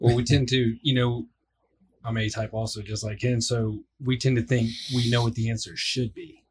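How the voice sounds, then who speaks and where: A man talks at a moderate pace and a medium pitch, sounding somewhat breathy. His intonation is fairly even, and the recording is very clean with a silent background. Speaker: guest's supporter. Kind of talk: casual chat. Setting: studio.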